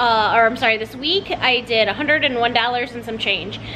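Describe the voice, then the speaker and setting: A woman speaks at a high pitch over music in the background. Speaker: mom vlogger. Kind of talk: casual vlog chat. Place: home room. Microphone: phone near.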